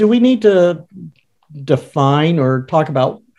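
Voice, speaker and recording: A man with a normal speaking voice talks at a fairly slow pace, his intonation lively. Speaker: podcast co-host, organizational consultant. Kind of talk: casual conversational podcast.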